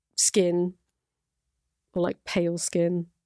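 A woman's medium-pitched voice in an Irish accent, recorded dry and close with no echo. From Ireland. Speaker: podcast host and YouTuber. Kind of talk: casual solo podcast, reacting to clips. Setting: studio. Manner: chatty, laughing, informal.

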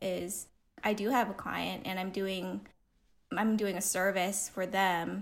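A woman's medium-pitched voice with vocal fry, in a Californian accent, at a very slow pace. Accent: Californian American. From US West Coast, Pasadena, California. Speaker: designer and illustrator. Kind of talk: casual interview.

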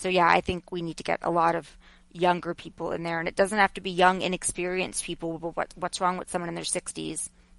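Speaking very fast in a monotone, flat delivery, a woman with an American accent is heard in a dry, close recording with no echo. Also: fairly low pitch for a woman. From Long Island, New York. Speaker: journalist and media commentator. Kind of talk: casual interview.

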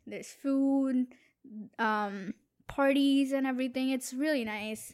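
A woman speaks at a high pitch and a fairly slow pace. The recording is very clean, with a silent background. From India. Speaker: student guest, host's girlfriend. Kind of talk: casual chat. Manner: quiet.

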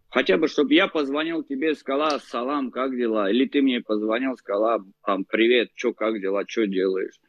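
With ordinary pitch variation, the speaker uses a plain, everyday voice. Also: man, medium pitch for a man, moderate pace. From Baku, then Moscow. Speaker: Armenian emigrant from Baku. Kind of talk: casual interview.

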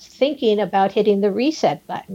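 A woman with an American accent speaks at a medium pitch, with ordinary pitch variation and a dark, mellow tone. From US West Coast (San Gabriel Valley, California). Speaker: city council member, politician. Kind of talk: interview.

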